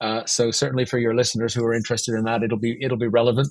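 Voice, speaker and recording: The voice is somewhat breathy. It comes with a Canadian accent. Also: man. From Canada, Vancouver. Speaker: business finance consultant. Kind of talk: podcast interview.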